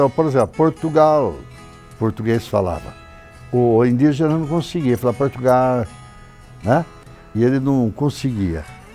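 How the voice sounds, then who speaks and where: With music in the background, a man speaks at a fairly slow pace and a medium pitch. His intonation is lively, broken by long, frequent pauses. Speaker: historian and writer. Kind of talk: interview answer.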